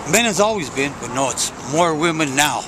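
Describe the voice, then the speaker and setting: A man with lively intonation talks at a moderate pace, with noticeable background noise and audible room echo around him. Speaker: homeless man interviewed. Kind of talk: interview. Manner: halting.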